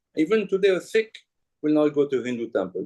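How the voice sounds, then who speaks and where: A man's dark, mellow voice with a French accent and very wide pitch swings. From France. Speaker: journalist and author. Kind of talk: talk at a book event. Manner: animated.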